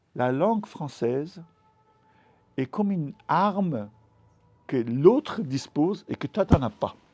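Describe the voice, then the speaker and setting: This man talks at a very slow pace, his pitch swinging very widely. The sound is dry and close with no echo, and music plays in the background. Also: long, frequent pauses. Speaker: novelist. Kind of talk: literary talk. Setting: bookshop event with audience. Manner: halting, many repetitions.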